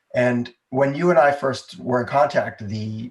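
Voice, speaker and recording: A man speaks at a fairly slow pace, somewhat breathy, with fairly even intonation. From United States, moved around (West, East, South). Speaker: entrepreneur and improv comedy business founder. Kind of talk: podcast interview.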